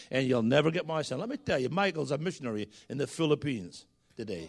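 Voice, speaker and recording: A man with a Scottish accent talks at a fairly quick pace. His pitch swings very widely over a quiet background. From Scotland. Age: 60s. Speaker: guest preacher. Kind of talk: sermon. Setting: church.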